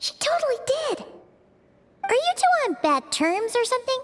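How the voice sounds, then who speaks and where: At a moderate pace, a put-on character voice talks in a squeaky, extremely high pitch. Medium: video game. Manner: fast, expressive, casual.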